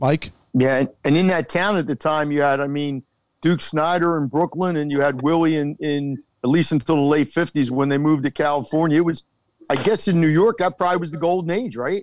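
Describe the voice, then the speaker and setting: A man with a plain, everyday voice speaks at a fairly quick pace and a fairly high pitch. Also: ordinary pitch variation. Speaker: co-host. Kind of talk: casual sports talk.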